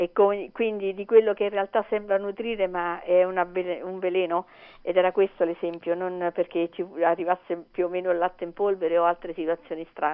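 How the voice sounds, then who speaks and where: Her pace is fairly quick. The woman's medium-pitched voice stays monotone and flat. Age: 60s. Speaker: teacher. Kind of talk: casual chat. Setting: phone call.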